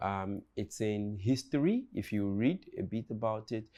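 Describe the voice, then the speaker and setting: A man with a Nigerian accent speaks at a medium pitch against a quiet background. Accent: Nigerian, unchanged. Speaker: comedian. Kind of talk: casual chat. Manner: halting, repeats words.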